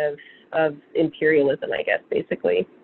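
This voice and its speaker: This woman has an unremarkable speaking voice, pitched fairly low. She speaks at a moderate pace. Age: 30s. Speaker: farmer and seed saver. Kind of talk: interview. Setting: remote call. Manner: casual with many fillers.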